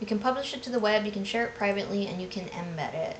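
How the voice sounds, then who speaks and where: Someone mumbles with ordinary pitch variation, with audible room echo and noticeable background noise. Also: woman. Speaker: designer streaming a software demo. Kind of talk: live product walkthrough. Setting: live stream from home. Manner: casual, thinking aloud with fillers; mumbling.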